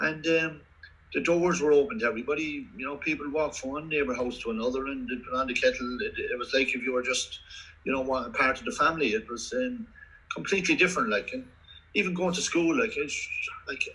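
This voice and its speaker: A man with a Kildare Irish accent rattles along at a very fast pace, his fairly high pitch swinging very widely over noticeable background noise. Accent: Kildare Irish accent, fairly strong. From Ireland, County Kildare. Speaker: former Gaelic football player. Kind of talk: interview. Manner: halting, many repetitions and fillers.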